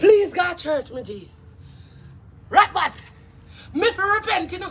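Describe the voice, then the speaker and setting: Long, frequent pauses break up speech delivered in a Jamaican accent. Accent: Jamaican Patois. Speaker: YouTube live streamer. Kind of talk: casual live-stream rant. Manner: animated. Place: garden. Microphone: phone near.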